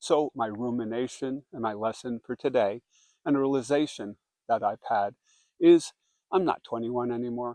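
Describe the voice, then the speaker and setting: A man speaks at a moderate pace with a medium pitch, ordinary pitch variation and a dark, mellow tone. The sound is dry and close with no echo, and the background is quiet. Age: 60s. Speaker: hiker. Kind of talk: casual reflective talk to camera. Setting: outdoors. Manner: reflective.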